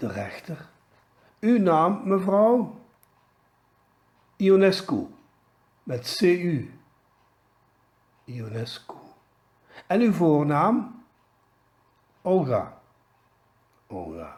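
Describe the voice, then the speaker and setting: The speaker moves at a very slow pace with long, frequent pauses. Loudness swings a lot, and pitch swings very widely. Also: man, high pitch for a man. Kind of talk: joke told in dialect.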